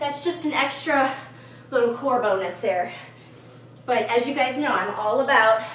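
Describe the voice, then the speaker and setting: The pitch varies in an ordinary way. Light background noise and audible room echo are present. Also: woman. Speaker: fitness instructor. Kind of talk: workout instruction. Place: gym.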